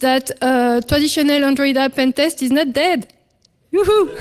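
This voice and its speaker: A woman talks at a high pitch, varying it in an ordinary way. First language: French. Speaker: security researcher. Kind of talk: conference talk. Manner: hesitant, many fillers; fast.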